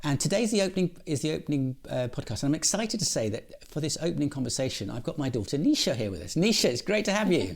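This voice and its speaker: Talking at a very fast pace with hardly any pauses, a man uses a fairly high pitch with very wide pitch swings and vocal fry. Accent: British. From England. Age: 60s. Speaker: podcast host. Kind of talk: casual chat.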